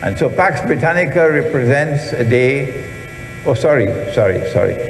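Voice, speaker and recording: Amid noticeable background noise and audible room echo, a man talks with lively intonation at a fairly high pitch. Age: 70s. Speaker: Islamic scholar and lecturer. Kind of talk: lecture. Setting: auditorium with audience.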